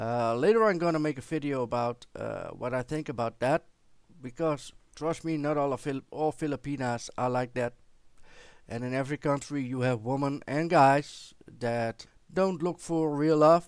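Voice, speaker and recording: A man with a Dutch accent speaks at a moderate pace, his pitch fairly high and varying in an ordinary way. The sound is dry with no echo, over a quiet background. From Netherlands. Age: 40s. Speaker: vlogger. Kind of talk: personal storytelling to camera. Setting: recording at home with headset microphone. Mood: warm, reflective storytelling. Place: home room. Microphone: headset.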